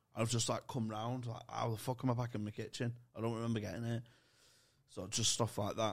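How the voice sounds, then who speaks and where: This man has a Manchester accent and a medium pitch. He talks fairly quickly in a monotone, flat way. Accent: Mancunian-sounding northern English. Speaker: comedian and podcast co-host. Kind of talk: casual chat.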